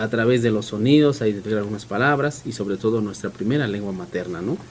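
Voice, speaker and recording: Speech comes at a very fast pace with ordinary pitch variation. Noticeable background noise runs underneath. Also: man, medium pitch for a man. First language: Mixe (speaking Spanish). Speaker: community radio host. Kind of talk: radio interview.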